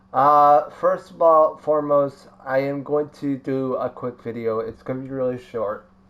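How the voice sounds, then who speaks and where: Amid noticeable background noise, a man speaks at a fairly slow pace with hardly any pauses. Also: fairly even intonation. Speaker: gaming YouTuber. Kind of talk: casual gaming commentary. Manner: halting, many fillers.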